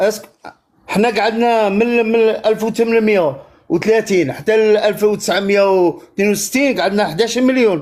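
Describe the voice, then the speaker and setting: With an Algerian accent, a man speaks fairly slowly at a high pitch, keeping very even loudness and ordinary pitch variation. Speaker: caller. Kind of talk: heated debate.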